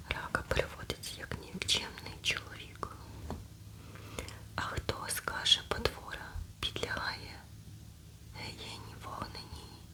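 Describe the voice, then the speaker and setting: A woman whispers at a very slow pace, with long, frequent pauses. Her loudness swings widely, and background noise is noticeable. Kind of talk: ASMR scripture reading. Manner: whispered, soft.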